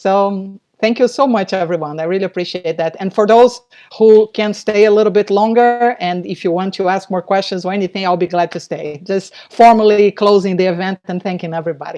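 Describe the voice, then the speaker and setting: A woman with a non-native accent, speaking at a fairly quick pace with fairly even intonation. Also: medium pitch for a woman. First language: not English. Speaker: novelist. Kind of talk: casual chat. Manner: halting.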